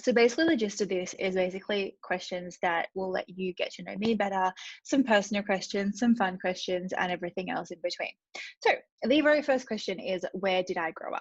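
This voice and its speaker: With an Australian accent, a woman speaks at a fairly quick pace and medium pitch, somewhat breathy, with ordinary pitch variation over a quiet background. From Australia, regional Victoria. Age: 30s. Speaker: vlogger. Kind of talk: casual chat. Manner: fast.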